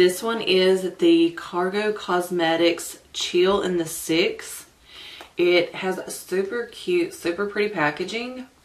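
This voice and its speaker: Over noticeable background noise, a woman with an American accent speaks at a very slow pace with fairly even intonation. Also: medium pitch for a woman. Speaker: beauty vlogger. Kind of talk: makeup first-impressions vlog. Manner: stumbling.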